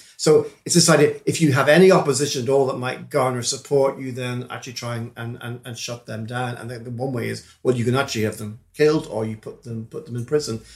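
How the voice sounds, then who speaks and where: Speaking at a fairly quick pace with hardly any pauses, a man with a medium-pitched, somewhat breathy voice keeps his intonation fairly even while his loudness swings widely. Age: 60s. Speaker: politics professor. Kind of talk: interview. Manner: halting.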